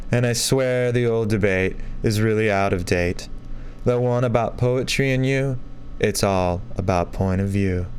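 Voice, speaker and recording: A man with an unremarkable speaking voice talks at a fairly slow pace, his medium pitch showing ordinary variation and his loudness staying very even. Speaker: spoken word poet. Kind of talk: spoken word poetry performance.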